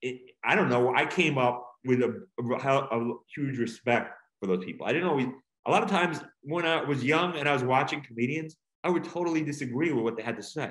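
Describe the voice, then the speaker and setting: Here a man talks with an American accent at a fairly quick pace. His voice sits at medium pitch with ordinary pitch variation. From Long Island, New York. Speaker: stand-up comedian and author. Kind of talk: casual interview chat. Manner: halting, many repetitions.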